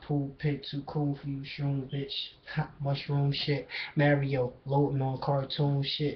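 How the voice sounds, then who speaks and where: Monotone, flat delivery, somewhat breathy, over light background noise. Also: man. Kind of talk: freestyle rap. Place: home room. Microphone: webcam.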